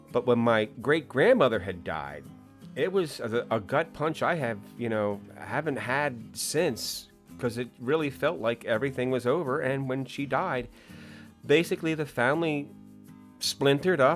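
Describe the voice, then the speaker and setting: A man with an American accent talks at a moderate pace and medium pitch. His intonation is lively, with music in the background. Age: 50s. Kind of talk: casual talk to camera. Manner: hesitant, rambling.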